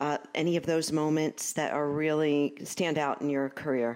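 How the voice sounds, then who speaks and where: With a slight Brooklyn accent, a woman talks at a moderate pace in a very deep, low voice. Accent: Brooklyn New York, slight. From Brooklyn, New York.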